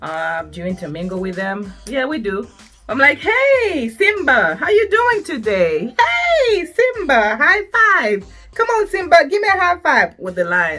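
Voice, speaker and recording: A woman in a high pitch uses a raised, projected voice at a fairly slow pace, with very wide pitch swings and big swings in loudness as music plays in the background. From Zambia. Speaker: YouTuber. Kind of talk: casual vlog talk. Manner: clear speech, as others remarked.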